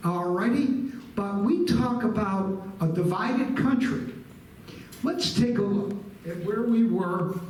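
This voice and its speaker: The speaker has an American accent and talks at a very slow pace. Audible room echo and noticeable background noise surround the voice. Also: man, high pitch for a man, lively intonation. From Buffalo, New York, US. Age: 70s. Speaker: guest lecturer, retired nonprofit executive. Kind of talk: history lecture to a live audience. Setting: room with live audience. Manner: conversational, engaging the audience.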